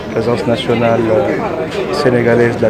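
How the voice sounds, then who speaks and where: A man's medium-pitched voice at a very slow pace, with audible room echo and crowd noise behind. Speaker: government minister. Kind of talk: public speech. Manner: halting.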